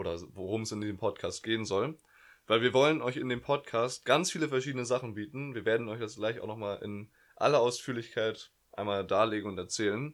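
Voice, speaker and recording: At a fairly quick pace, a man talks in a medium-pitched voice with ordinary pitch variation. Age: young. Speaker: podcast co-host, student. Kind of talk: casual chat. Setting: bedroom at home. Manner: hesitant, many fillers.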